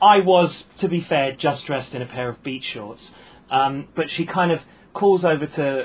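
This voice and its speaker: Somewhat breathy, this man's voice sits fairly high. He speaks at a fairly slow pace. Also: ordinary pitch variation, big swings in loudness. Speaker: stand-up comedian. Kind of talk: casual chat. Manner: halting.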